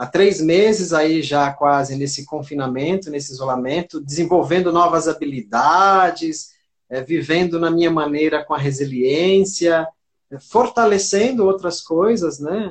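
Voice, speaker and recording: Male speech with a normal speaking voice, pitched fairly high, delivered at a moderate tempo and with ordinary pitch variation. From Santos, São Paulo, Brazil. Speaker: educator and personal development speaker. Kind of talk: live-stream interview. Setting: online live stream.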